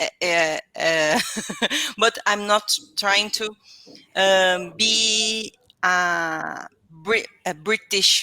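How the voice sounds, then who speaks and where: Very slow, with long, frequent pauses, a woman speaks in a Brazilian accent at a medium pitch. Her tone is bright and sharp, and the sound is dry and close with no echo. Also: ordinary pitch variation. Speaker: English learner. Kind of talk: casual chat. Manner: halting.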